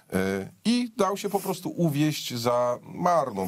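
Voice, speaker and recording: A man speaks with vocal fry and very wide pitch swings. The background is quiet. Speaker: political commentator. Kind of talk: political commentary chat. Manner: sarcastic. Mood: ironic, mocking. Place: studio.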